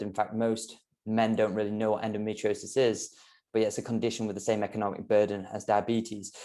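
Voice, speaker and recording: A man with a British accent talks at a fairly quick pace, his fairly low voice dark and mellow in tone. His intonation is monotone and flat, and the background is quiet. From UK. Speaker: health coach. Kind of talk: podcast interview. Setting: podcast.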